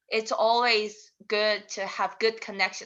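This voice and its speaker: Speaking fairly slowly with a Korean accent, a woman has a fairly high pitch and a bright, sharp tone over a quiet background. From South Korea. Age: 20s. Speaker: international student. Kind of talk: interview. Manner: halting.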